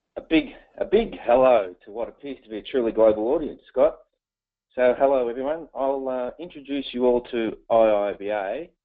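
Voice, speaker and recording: A man with an Australian accent, medium in pitch, at a moderate pace with ordinary pitch variation. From Australia, Melbourne. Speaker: professional association board member. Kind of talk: webinar presentation. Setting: online webinar.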